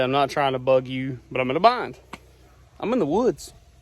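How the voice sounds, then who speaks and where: Talking fairly quickly, this man speaks in a Southern US accent. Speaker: rural landowner vlogger. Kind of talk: casual vlog narration.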